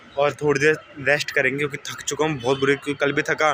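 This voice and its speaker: Noticeable background noise sits under this man's voice. He speaks fairly quickly at a fairly high pitch. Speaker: vlogger. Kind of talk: vlog. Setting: outdoors, gurdwara garden.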